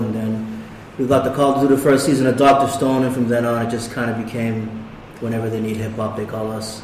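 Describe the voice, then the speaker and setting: There is noticeable background noise as a man with a medium-pitched voice talks at a fairly quick pace. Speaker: hip hop artist. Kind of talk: casual chat. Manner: soft-spoken.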